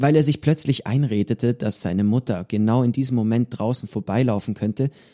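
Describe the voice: The text is read aloud plainly, with ordinary pitch variation.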